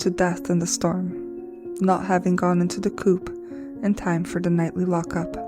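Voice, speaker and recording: A moderate pace with music in the background. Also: woman. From Brazil. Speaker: crafter and storyteller. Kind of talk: personal paranormal story told to camera. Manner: stuttering.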